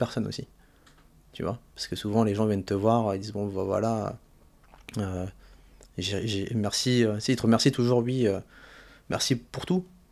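Using fairly even intonation, a man speaks at a moderate pace with long, frequent pauses. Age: 30s. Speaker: personal trainer, former finance worker; personal trainer. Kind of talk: interview. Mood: calm, reflective. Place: studio. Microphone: studio mic.

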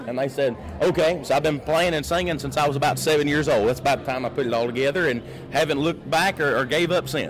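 A man at a very fast pace and fairly high pitch, with fairly even intonation, very even loudness and faint music in the background. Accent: Kentucky. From Kentucky. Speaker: country singer; guest. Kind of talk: casual interview. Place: hall. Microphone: handheld.

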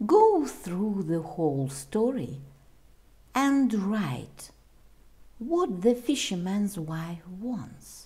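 Very slow, somewhat breathy speech from a woman with a dark, mellow tone, very wide pitch swings, long and frequent pauses, and audible room echo. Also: medium pitch for a woman. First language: Russian. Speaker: English teacher. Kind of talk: tutorial.

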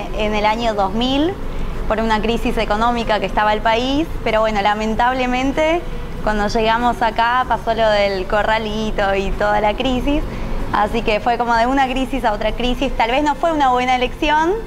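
There is noticeable background noise behind a woman whose loudness stays very even and whose pitch variation is ordinary. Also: moderate pace. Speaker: TV interviewee. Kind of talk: interview answer. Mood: happy, smiling, laughing. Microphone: lapel.

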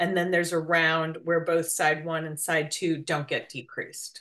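A woman with a fairly low pitch speaks in a bright, sharp tone over a quiet background. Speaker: knitting teacher. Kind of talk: tutorial.

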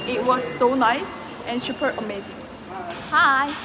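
Loud noise fills the background. The speech moves at a fairly slow pace. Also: woman. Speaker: travel vlogger. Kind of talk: casual vlog chat. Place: station. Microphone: phone near.

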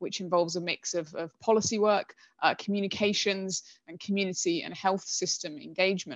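Against a quiet background, a woman talks fairly quickly with ordinary pitch variation in a dry sound with no echo. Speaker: data governance specialist; guest. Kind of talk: presentation. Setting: video call. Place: home room. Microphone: headset.

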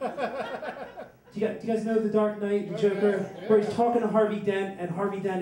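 A man with an American accent, his voice high in pitch, with audible room echo. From Northeast Philadelphia, US; Philadelphia. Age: 20s. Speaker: storyteller. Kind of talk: stand-up storytelling. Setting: stage with audience. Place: bar.

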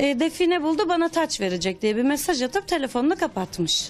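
A woman speaks at a fairly quick pace in a high pitch. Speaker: relative of a deceased person. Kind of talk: testimony. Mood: serious, troubled. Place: home room. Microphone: handheld.

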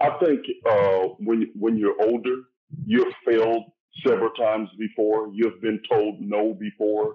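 A man with a Southern US accent, medium pitch, fairly even intonation, very even loudness and a fairly slow pace. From Louisiana. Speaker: actor. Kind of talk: casual chat. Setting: video call.

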